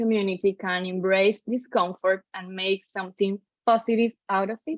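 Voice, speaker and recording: A woman with a Spanish accent, medium pitch, ordinary pitch variation and a fairly slow pace. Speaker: podcast host. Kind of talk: interview.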